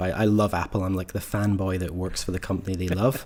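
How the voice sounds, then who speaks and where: A man speaks at a very fast pace with a Scottish accent. His fairly low voice has a dark, mellow tone. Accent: Scottish, slightly tamed. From Scotland, Ayrshire. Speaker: car enthusiast and designer. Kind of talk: casual interview. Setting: call from garage.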